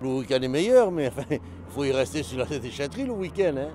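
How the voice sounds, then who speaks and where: A man of medium pitch talks at a moderate pace, his pitch swinging very widely. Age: 60s. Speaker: scrap metal collector. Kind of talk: interview.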